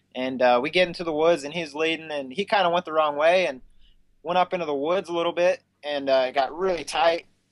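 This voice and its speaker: In a normal speaking voice, a man talks at a fairly quick pace with fairly high pitch and ordinary pitch variation. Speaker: racer. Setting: video call.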